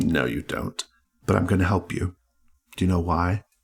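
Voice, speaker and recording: A man speaks in a put-on character voice with a very deep, low pitch. His pace is moderate. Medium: actual play. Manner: needling, sardonic.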